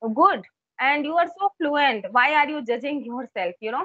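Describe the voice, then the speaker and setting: Lively intonation runs through speech delivered at a fairly slow pace. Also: woman. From India, Uttar Pradesh (Kanpur). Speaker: English teacher, YouTuber. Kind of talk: conversation practice interview.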